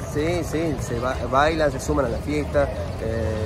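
The voice sounds dry with no echo, and clear music plays in the background. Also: man. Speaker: show host. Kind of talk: interview answer. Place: street.

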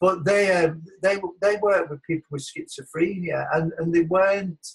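A man with a Lancashire accent at a fairly quick pace. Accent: northern English (Lancashire). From Wigan, northern England; northern England. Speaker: academic, former language teacher; former language teacher. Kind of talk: personal story in webinar. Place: home room. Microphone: webcam.

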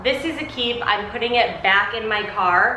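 A woman talks at a moderate pace with ordinary pitch variation, with audible room echo and light background noise. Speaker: home organizing vlogger. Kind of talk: casual vlog chat. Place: garage. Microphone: camera far.

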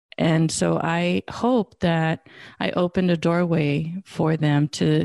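This voice has a dark, mellow tone, recorded with a dry, close sound and no echo. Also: woman. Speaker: podcast host and wisdom teacher. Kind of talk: casual interview conversation.

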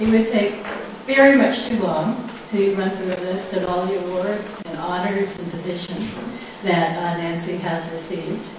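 A woman at a fairly slow pace with ordinary pitch variation, strong room echo and noticeable background noise. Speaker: lecture series host. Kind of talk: formal introduction and Q&A moderation. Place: hall.

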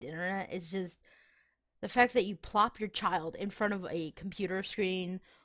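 A woman speaks at a moderate pace in a plain, everyday voice with medium pitch. The recording is very clean, with a silent background. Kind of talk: casual chat while gaming with friends.

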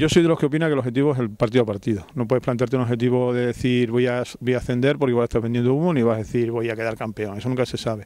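Very fast and with hardly any pauses, a man speaks in a dark, mellow tone with fairly even intonation and a dry sound with no echo. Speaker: football coach. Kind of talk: interview; interview answer. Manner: repetitive, halting in places. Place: open country. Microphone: handheld.

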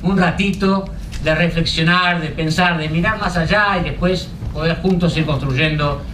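At a fairly slow pace, a man talks with fairly even intonation over noticeable background noise. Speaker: event moderator. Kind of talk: introductory remarks to an audience. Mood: relaxed, friendly, smiling. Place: hall. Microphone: podium.

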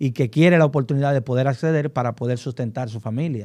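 A man's fairly high voice with a dark, mellow tone and fairly even intonation over a quiet background. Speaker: lawyer and co-panelist; lawyer, panelist. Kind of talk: casual panel discussion. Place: studio. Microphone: studio mic.

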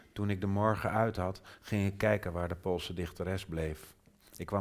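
Fairly even intonation marks the speaker reading aloud in a natural voice.

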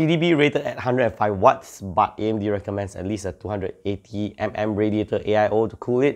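In a quiet background, a man talks at a very slow pace. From Malaysia. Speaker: tech YouTuber. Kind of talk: tech news update. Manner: casual, some hesitations. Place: home room.

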